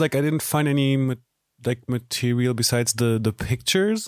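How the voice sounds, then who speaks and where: A man with a German accent talks at a moderate pace, the sound dry and close with no echo. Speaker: podcast host. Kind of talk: interview. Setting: video call.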